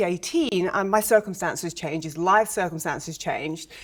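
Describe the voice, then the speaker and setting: A woman with an English accent and ordinary pitch variation. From England, London. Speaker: real estate agent. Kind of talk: TV interview. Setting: studio.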